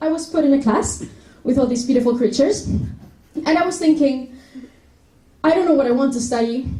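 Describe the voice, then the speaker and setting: In a Spanish accent, a woman with a high pitch and a dark, mellow tone speaks at a moderate pace with ordinary pitch variation, amid audible room echo. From Spain, Madrid. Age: 20s. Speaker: university student. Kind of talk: presentation talk.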